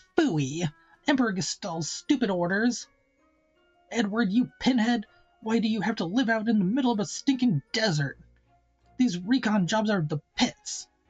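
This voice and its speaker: A put-on character voice, female-sounding and fairly high for a woman, at a moderate pace with long, frequent pauses over faint background music. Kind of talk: exasperated complaining. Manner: mocking, whiny, sarcastic.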